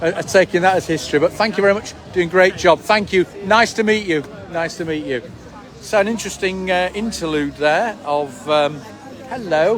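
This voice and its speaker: Noticeable noise sits in the background. The speaker keeps a moderate pace with ordinary pitch variation. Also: man, high pitch for a man. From northern England, Leeds. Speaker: event organiser and live streamer. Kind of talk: live street interview and livestream commentary. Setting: outdoors at a rally.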